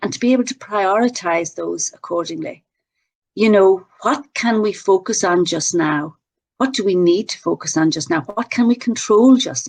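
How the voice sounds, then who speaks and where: At a moderate pace, a woman with an Irish accent and a medium pitch makes very wide pitch swings. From Ireland. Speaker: workshop presenter on emotional intelligence. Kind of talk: webinar presentation. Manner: relaxing.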